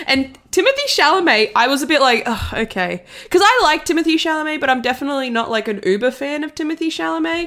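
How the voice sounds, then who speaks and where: A woman with an Australian accent, high pitch with very wide pitch swings, a very fast pace and hardly any pauses. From Italy. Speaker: film podcast guest. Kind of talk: casual chat.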